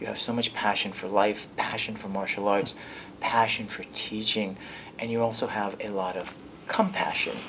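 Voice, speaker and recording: Over noticeable background noise and audible room echo, a man speaks at a moderate pace in a fairly low, monotone, flat voice. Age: 50s. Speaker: martial arts instructor and show host. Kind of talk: interview conversation.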